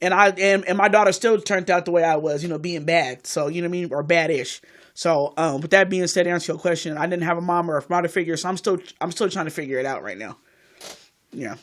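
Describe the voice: A woman talks fast in a fairly low pitch, with ordinary pitch variation.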